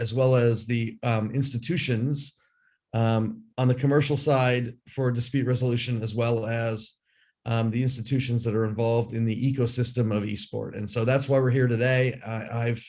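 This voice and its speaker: Against a quiet background, a man with an American accent speaks at a moderate pace in a somewhat breathy, medium-pitched voice with fairly even intonation. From United States. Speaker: sports lawyer and arbitrator. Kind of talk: panel discussion. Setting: video call from a hotel room. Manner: halting.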